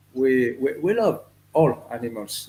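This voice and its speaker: A man speaks with a French accent. His pitch sits at a medium level. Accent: French accent, non-native English. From France. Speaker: reptile breeder. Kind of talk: podcast interview. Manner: halting, many fillers.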